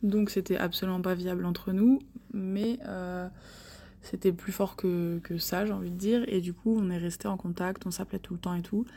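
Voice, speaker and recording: A woman speaks at a moderate pace and medium pitch, with monotone, flat intonation. Her tone is dark and mellow, and somewhat breathy. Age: 20s. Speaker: listener sharing travel story. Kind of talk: recorded voice message testimony.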